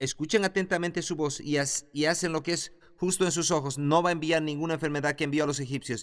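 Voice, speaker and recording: Fairly even in intonation, a man talks at a fairly quick pace in a fairly high voice. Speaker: Bible institute teacher. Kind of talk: lecture.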